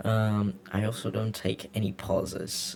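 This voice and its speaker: A man speaks with a very deep, low pitch and a Latin American accent. His pitch varies in an ordinary way. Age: 20s. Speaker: vlogger. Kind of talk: casual unscripted monologue. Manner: halting, many fillers and repeats.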